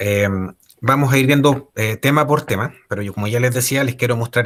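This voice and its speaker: Speaking at a fairly quick pace with a Chilean accent, a man keeps a medium pitch and fairly even intonation. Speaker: ergonomist. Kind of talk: lecture. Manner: halting, many fillers and repetitions.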